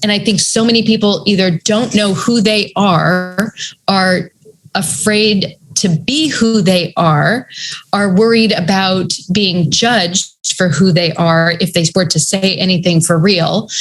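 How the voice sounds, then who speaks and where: Speaking at a fairly slow pace with an American accent, a woman uses a medium pitch and a somewhat breathy voice at very even loudness. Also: ordinary pitch variation. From New England, US. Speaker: author and writing coach. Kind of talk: casual interview chat.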